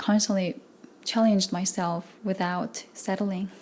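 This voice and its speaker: At a moderate pace, a woman speaks in a medium pitch with a somewhat breathy voice. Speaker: vlogger. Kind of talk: personal vlog monologue.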